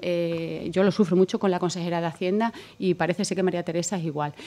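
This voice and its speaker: Very fast in pace, a woman speaks at a medium pitch with fairly even intonation. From Extremadura, Spain. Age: 40s. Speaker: politician. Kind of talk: political debate. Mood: firm, argumentative. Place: studio. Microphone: studio mic.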